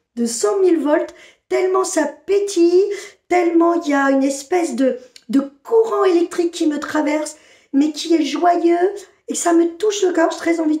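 A woman with an extremely high pitch and a dark, mellow tone speaks at a moderate pace with ordinary pitch variation, with audible room echo and a quiet background. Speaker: spiritual channeler. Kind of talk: channeled spiritual message. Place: home room. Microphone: phone near.

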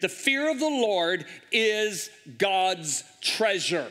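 Raising and projecting his voice, a man speaks with lively intonation. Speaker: guest preacher. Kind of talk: sermon. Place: stage. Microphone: headset.

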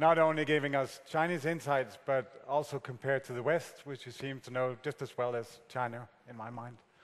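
A man with a plain, everyday voice talks at a medium pitch and a fairly quick pace, with fairly even intonation and hardly any pauses. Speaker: conference moderator. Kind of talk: moderating, thanking speaker, Q&A. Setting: conference hall with audience. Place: hall.

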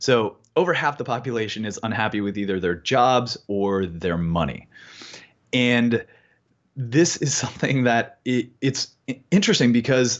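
A man with an American accent talks at a moderate pace in a medium pitch with lively intonation over a quiet background. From California. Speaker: financial coach. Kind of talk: interview. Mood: reflective, slightly emotional. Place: home room. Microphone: earbuds.

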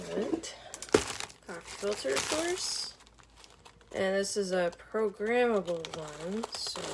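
Loud background noise surrounds a woman who speaks at a very slow pace. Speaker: first-time vlogger. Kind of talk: casual vlog chat. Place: kitchen. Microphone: phone near.

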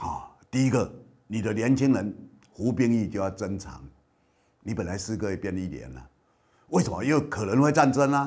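A man's medium-pitched voice with vocal fry and lively intonation, at a moderate pace with long, frequent pauses and big swings in loudness, over a quiet background. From Kinmen, Taiwan. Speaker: political commentator and show host. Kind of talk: news commentary monologue. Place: studio. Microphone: lapel.

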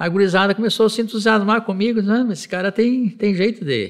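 This man has a high pitch. The background is quiet. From Brazil, interior of Rio Grande do Sul (Vacaria); Rio Grande do Sul, Brazil. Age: 70s. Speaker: retired federal appellate judge. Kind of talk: oral history interview. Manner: halting, with frequent repetitions. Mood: warm, relaxed, nostalgic. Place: office.

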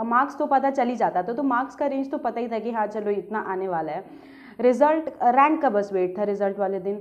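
A woman speaks in a high-pitched voice. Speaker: medical student vlogger. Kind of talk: casual Q&A vlog chat. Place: home room. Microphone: phone near.

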